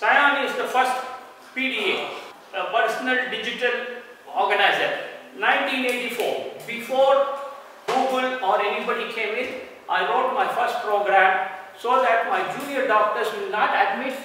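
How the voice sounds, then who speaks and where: Using a raised, projected voice, a man with an extremely high pitch talks at a fairly slow pace with long, frequent pauses. There is strong room echo and light background noise. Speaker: doctor giving a lecture. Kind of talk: lecture. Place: hall. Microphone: camera far.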